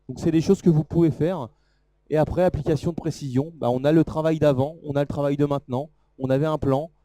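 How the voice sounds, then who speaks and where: The sound is dry and close with no echo. A man with a dark, mellow tone speaks at a fairly quick pace with fairly even intonation. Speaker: product presenter at trade show. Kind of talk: live product demo talk. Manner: fast.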